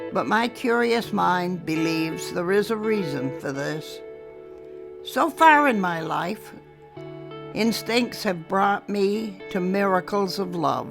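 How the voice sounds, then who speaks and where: Music plays in the background. Over it, a woman speaks at a very slow pace. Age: 80s+. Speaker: poet. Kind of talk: poetry reading.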